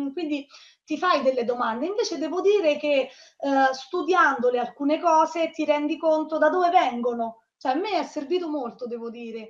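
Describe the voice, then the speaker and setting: A woman speaks in a high-pitched voice with ordinary pitch variation. The background is quiet. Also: moderate pace. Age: 30s. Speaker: online university student. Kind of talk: interview. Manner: halting. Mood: friendly, positive. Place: home room. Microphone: video call.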